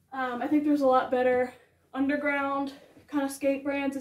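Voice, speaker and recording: Audible room echo surrounds a woman's high-pitched voice at a moderate pace. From New York City. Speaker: fashion and skate YouTuber; skate YouTuber. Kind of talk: casual vlog haul. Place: home room. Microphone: camera far.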